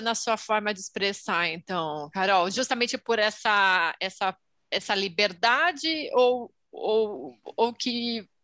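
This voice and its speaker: A woman with a Brazilian accent has a bright, sharp tone and a fairly high pitch, speaking at a very slow pace with hardly any pauses. The recording is very clean, with a silent background. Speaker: podcast co-host. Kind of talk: casual chat.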